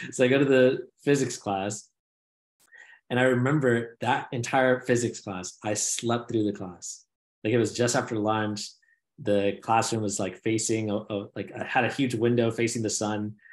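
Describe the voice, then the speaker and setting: At a moderate pace, a man talks in a normal speaking voice. His pitch is medium, and his intonation stays fairly even. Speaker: podcast co-host, new father. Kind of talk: casual chat. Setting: video call. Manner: rambling, filler-heavy.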